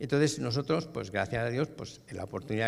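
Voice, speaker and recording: Delivery is very fast, with lively intonation and vocal fry. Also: man. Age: 60s. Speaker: business owner and franchisee at a church workshop. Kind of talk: workshop testimony. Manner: casual.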